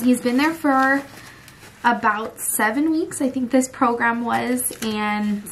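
A woman's voice with ordinary pitch variation over light background noise. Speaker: family vlogger. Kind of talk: casual vlog chat. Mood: serious, emotional family topic. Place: home room. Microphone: phone near.

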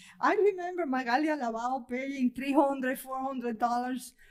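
A woman speaks with a strong Spanish accent at a high pitch. Her pace is fairly slow, her pitch variation ordinary, and the background quiet. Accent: heavy Spanish accent in English. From Cuba. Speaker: poet. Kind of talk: casual chat. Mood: warm, amused. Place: hall. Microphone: podium.

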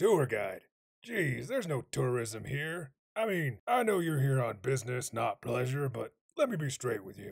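A man speaks in a put-on character voice, raspy and pitched in the middle of his range. His pitch swings very widely at a moderate pace. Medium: voice reel. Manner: sarcastic, rambling, casual.

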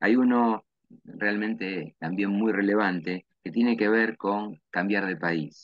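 A man with a Rioplatense accent speaks very slowly at a fairly low pitch with ordinary pitch variation. The sound is dry with no echo, and the background is quiet. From Argentina, Lomas de Zamora; Argentina. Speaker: university professor and event host; university professor, event host. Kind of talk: interview. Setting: video call. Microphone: webcam.

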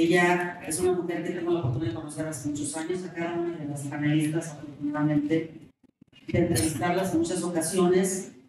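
A woman with a fairly low pitch and fairly even intonation talks at a very fast pace, with strong room echo and noticeable background noise. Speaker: panel moderator. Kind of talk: moderated panel discussion. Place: hall.

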